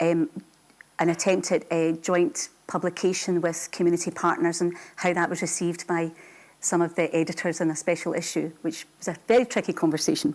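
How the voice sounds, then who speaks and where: A woman talks at a fairly quick pace with a fairly low pitch. She has an ordinary speaking voice. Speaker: university lecturer in sociology. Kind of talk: lecture.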